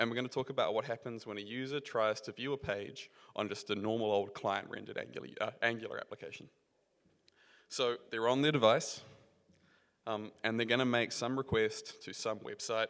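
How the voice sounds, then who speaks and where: With a New Zealand accent, a man speaks at a fairly quick pace and with fairly even intonation. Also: medium pitch for a man. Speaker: software engineer, conference speaker. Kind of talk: conference talk. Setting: stage with audience. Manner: casual, filler-heavy (um).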